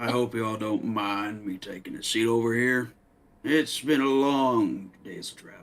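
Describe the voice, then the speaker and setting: A put-on character voice is used throughout. Its delivery keeps a moderate pace. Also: man, medium pitch for a man. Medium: actual play. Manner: dry, laconic.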